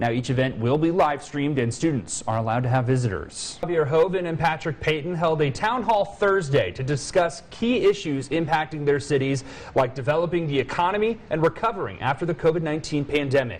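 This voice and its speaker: An unremarkable speaking voice moves at a fairly quick pace with hardly any pauses. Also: man, fairly high pitch for a man. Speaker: TV news reporter / anchor. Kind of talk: TV news anchor read.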